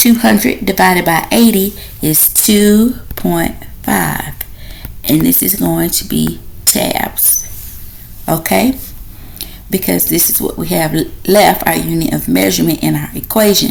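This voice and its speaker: Over noticeable background noise and audible room echo, a woman talks at a fairly slow pace with long, frequent pauses. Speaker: nursing instructor. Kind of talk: lecture.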